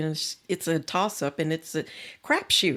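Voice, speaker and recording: In a very clean recording with a silent background, the voice comes with an American accent. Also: woman. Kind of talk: podcast interview.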